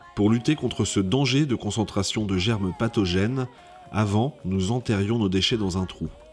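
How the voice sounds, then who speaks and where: Over music in the background, a man speaks at a moderate pace in a fairly low pitch with ordinary pitch variation. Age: 60s. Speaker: farmer. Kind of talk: scripted narration.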